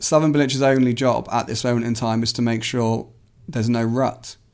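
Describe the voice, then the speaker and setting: A man's ordinary speaking voice, medium in pitch, fairly quick and fairly even in intonation, on a very clean recording with a silent background. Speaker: football journalist. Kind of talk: casual chat.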